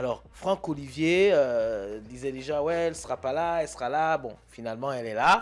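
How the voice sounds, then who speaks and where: Fairly high-pitched man at a moderate pace with lively intonation and hardly any pauses. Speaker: radio host. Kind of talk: radio talk show.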